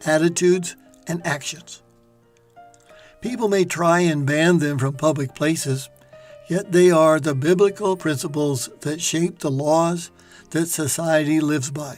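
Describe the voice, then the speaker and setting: Music plays in the background as a man speaks at a fairly slow pace with long, frequent pauses. His pitch is fairly high and his intonation fairly even. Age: 70s. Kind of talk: scripted narration.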